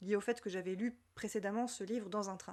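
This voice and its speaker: Over a quiet background, a woman's speech moves at a fairly quick pace. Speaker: literature podcaster. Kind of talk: personal podcast monologue.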